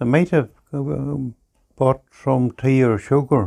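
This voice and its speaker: A man's dark, mellow voice at medium pitch with ordinary variation, in a Northern Irish accent, dry and close with no echo. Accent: Northern Irish (Ulster). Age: 90s. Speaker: farmer. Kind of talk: oral history interview.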